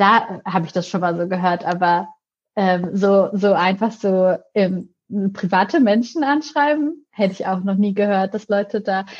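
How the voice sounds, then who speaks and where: A normal speaking voice from a woman, medium in pitch, at a moderate pace with ordinary pitch variation. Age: 20s. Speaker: YouTube presenter and editor. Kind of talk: casual chat.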